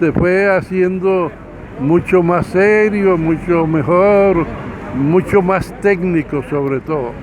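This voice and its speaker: Over noticeable background noise, the speaker goes at a very slow pace with ordinary pitch variation. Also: man, high pitch for a man. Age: 80s+. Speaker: boxing official. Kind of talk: interview. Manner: halting.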